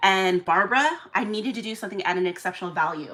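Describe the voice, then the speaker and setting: In an animated tone, a woman talks at a medium pitch with ordinary pitch variation. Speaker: live-streaming doll seller and event organizer. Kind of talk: casual live stream chat. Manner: fast.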